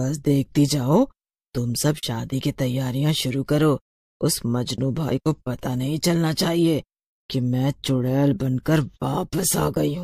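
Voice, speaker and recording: A man puts on a cartoonish character voice at a medium pitch. He speaks at a fairly slow pace. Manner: taunting, bold.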